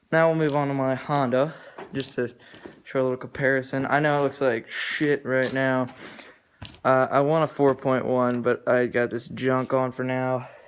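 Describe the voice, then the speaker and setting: Speech moves along at a moderate rate. There is a noticeable amount of background noise. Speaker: dirt bike owner reviewing his bike. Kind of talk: casual video review. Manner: casual, hesitant with fillers.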